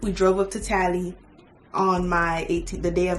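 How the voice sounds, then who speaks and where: Room echo is audible, and music plays in the background. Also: woman. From Miami, Florida. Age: 20s. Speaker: beauty vlogger. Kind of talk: casual chat. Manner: fast.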